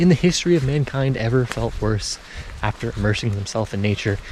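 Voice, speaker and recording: The speech comes at a fairly quick pace with lively intonation over noticeable background noise. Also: man. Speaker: spiritual self-development vlogger. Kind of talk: casual vlog monologue while walking. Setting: outdoors in foggy nature.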